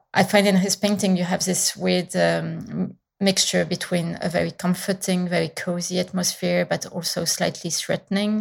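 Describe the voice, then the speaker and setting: A woman speaks with a fairly low pitch and vocal fry. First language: French. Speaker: painter. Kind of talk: interview. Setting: remote call.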